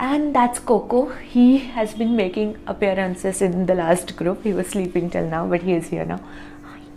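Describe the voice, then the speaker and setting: Noticeable background noise sits behind a woman speaking at a moderate pace in a medium pitch. Her intonation is lively and her loudness swings widely. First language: not English. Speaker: tarot reader. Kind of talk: tarot reading monologue. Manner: halting, frequent fillers and repeats.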